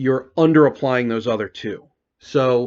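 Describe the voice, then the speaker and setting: A man is speaking. His pace is fairly slow. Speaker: tabletop role-playing game video creator. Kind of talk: solo video monologue. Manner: halting, many fillers and repeats.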